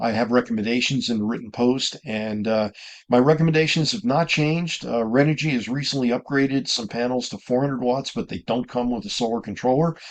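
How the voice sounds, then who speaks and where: A man uses a normal speaking voice at a fairly quick pace with hardly any pauses, keeping a medium pitch with ordinary pitch variation. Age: 60s. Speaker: RV travel vlogger. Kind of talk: casual vlog talk to camera. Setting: inside his camper. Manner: conversational with frequent fillers.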